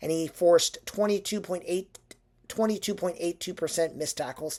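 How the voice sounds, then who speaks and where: A put-on character voice, raspy and at a middle pitch, moves at a moderate pace. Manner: stuttering.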